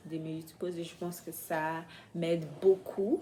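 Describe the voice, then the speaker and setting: A woman talks with a non-native accent. Her pace is very slow. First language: not French (speaking French). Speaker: vlogger, French learner. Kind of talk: casual vlog. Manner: halting, many hesitations.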